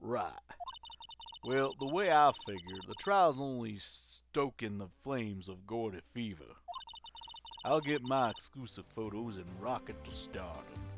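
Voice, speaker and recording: Putting on a character voice, a man drawls at a fairly slow pace and a medium pitch, with big swings in loudness. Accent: Southern US. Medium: game stream. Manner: folksy, drawling.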